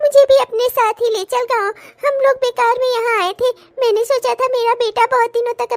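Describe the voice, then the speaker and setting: Putting on a character voice, a woman speaks at an extremely high pitch with monotone, flat intonation at a moderate pace. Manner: complaining, hurt.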